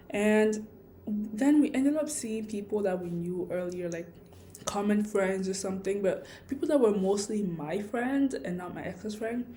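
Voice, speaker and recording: Amid audible room echo, a woman speaks at a moderate pace in a medium pitch, with lively intonation and big swings in loudness. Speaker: vlogger. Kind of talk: casual vlog monologue. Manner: rambling, hesitant with fillers.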